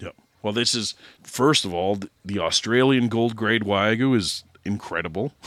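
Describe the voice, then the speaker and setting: A man with a Canadian accent speaks at a moderate pace in a fairly low pitch. He has an unremarkable speaking voice with ordinary pitch variation. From Alberta, Canada. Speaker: podcast co-host, barbecue cook. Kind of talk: casual interview chat.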